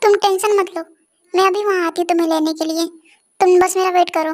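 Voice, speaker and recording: Using a put-on character voice, a woman speaks at an extremely high pitch and a very fast pace in a monotone, flat intonation. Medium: read story. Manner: bold, decisive.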